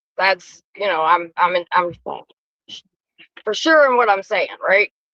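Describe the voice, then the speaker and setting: A woman speaks very slowly and loudly at a medium pitch, her tone bright and sharp. Her intonation is lively, and the sound is dry and close with no echo. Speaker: livestream co-host. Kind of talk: casual chat. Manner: assertive.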